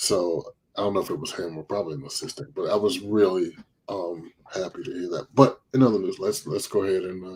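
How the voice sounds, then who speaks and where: A man with an ordinary speaking voice and a fairly low pitch talks at a fairly quick pace, with ordinary pitch variation and big swings in loudness. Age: 40s. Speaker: live stream talk show host. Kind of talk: casual chat. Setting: live stream.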